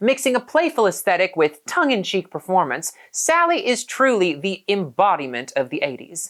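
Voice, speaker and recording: An upbeat, medium-pitched woman's voice at a moderate pace on a very clean recording with a silent background. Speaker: podcast host; drag performer. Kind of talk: podcast intro read.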